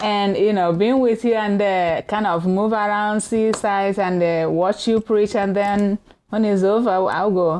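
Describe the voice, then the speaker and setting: Speaking at a fairly slow pace in a Nigerian accent, a woman keeps a medium pitch, fairly even intonation, and very even loudness. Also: hardly any pauses. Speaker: minister. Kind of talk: casual chat.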